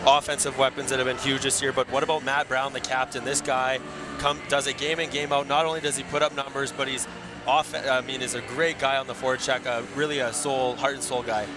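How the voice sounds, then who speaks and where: The delivery is monotone and flat at a fairly quick pace. Noticeable background noise is present. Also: man, medium pitch for a man. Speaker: colour commentator, co-host. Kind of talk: hockey colour analysis and commentary.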